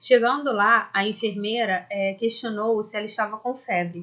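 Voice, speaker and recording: A woman with an unremarkable speaking voice talks at a moderate pace, her fairly high pitch showing ordinary pitch variation. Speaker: school science teacher. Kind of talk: lecture. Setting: recorded video lesson.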